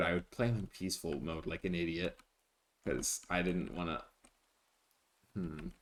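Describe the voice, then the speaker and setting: A man speaks with a very deep, low pitch and vocal fry. His intonation is lively and his pace moderate. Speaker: gaming streamer. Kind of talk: live gameplay commentary. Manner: repetitive.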